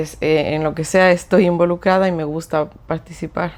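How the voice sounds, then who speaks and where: A woman with a fairly low pitch and fairly even intonation talks at a moderate pace. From Ecuador (Cuenca). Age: 30s. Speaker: clinical psychologist. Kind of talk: podcast interview. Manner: hesitant, many fillers.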